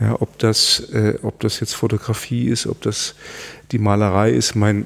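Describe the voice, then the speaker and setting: A man's fairly low-pitched voice. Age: 50s. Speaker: climate scientist and academy president. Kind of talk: interview. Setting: office. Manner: halting, many fillers and repetitions.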